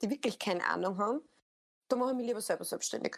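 A woman speaks with an Upper Austrian accent and ordinary pitch variation, on a very clean recording with a silent background. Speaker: social media coach. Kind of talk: casual podcast interview.

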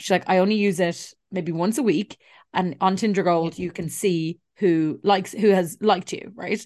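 A woman speaks at a medium pitch over a quiet background. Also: fairly even intonation, moderate pace. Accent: Irish. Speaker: podcast co-host. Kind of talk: casual chat. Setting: video call.

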